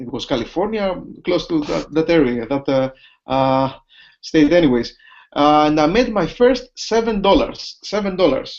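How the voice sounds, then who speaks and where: Over a quiet background, a man with a Greek accent speaks at a moderate pace in a fairly high pitch, his voice making very wide pitch swings. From Greece. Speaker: business opportunity presenter. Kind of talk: sales pitch. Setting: online video hangout from home office. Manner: halting.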